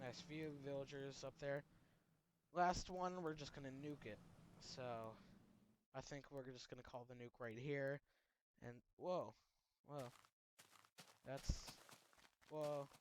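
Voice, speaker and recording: Speaking at a fairly slow pace with long, frequent pauses, a man uses a fairly high pitch and fairly even intonation. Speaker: gaming youtuber. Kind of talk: gameplay commentary. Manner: soft-spoken; halting.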